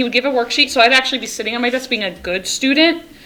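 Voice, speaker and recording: A woman chatters very fast in a high voice with ordinary pitch variation, noticeable background noise running underneath. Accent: American. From US South (Winston-Salem, North Carolina). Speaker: librarian, podcast co-host. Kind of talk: casual chat.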